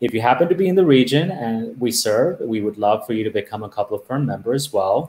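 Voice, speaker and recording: His intonation moves in a lively way. The man keeps a fairly quick pace. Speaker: host of a plant society chapter webinar. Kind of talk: presentation introduction.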